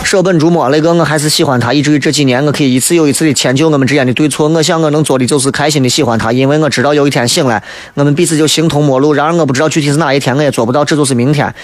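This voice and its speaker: Speaking with a Shaanxi accent, a man rattles along at a very fast pace with hardly any pauses and a fairly high pitch. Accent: Shaanxi Mandarin (Xi'an dialect). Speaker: radio talk show host. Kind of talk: radio talk show monologue, humorous. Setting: radio studio broadcast. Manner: animated, humorous, colloquial; toned down, saving his voice.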